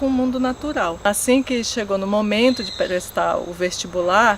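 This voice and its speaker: A woman's ordinary pitch variation comes through at a moderate pace, with noticeable background noise behind her. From rural Brazil. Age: 40s. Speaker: agricultural researcher. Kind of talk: documentary interview.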